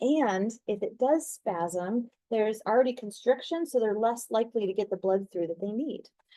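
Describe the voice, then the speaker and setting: A woman speaks in a normal speaking voice at a moderate pace. Her pitch is fairly high, and her intonation is lively. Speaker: nursing instructor. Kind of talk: lecture.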